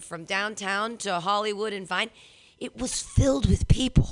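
Over a quiet background, a woman speaks in an animated tone at a moderate pace. Her pitch is fairly high, with ordinary variation. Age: 40s. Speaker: comedy show host. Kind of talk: stand-up. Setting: stage with audience.

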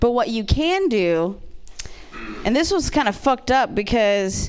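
With an American accent, a woman speaks at a moderate pace in a high pitch with lively intonation over noticeable background noise. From Ohio, small town. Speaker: comedian. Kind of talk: stand-up.

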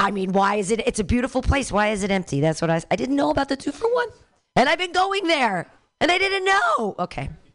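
At a very fast pace, a woman with a high pitch talks in an animated tone, her pitch swinging very widely. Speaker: open mic comedy host. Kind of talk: live emceeing and feedback to comics. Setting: stage with audience.

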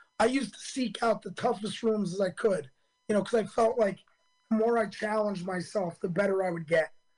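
With music in the background, the speech runs at a fairly quick pace. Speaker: comedian. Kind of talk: interview.

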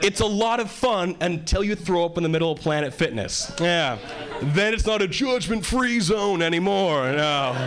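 A man talks at a moderate pace with a high pitch, lively intonation and very even loudness. Noticeable background noise runs underneath. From Hawaii. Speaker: stand-up comedian. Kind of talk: stand-up comedy. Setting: stage with audience.

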